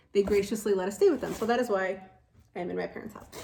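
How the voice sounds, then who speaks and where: A woman's medium-pitched voice with a Chicago accent. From Chicago, Illinois. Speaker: nurse and mother making a video. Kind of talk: casual unboxing vlog. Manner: chatty, many fillers.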